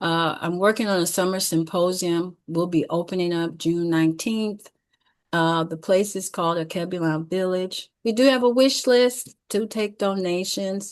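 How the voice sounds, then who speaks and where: Using a normal speaking voice, a woman talks at a moderate pace in a medium pitch with ordinary pitch variation. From Detroit, Michigan, US. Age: 60s. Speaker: educator. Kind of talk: closing announcements; presentation with slides.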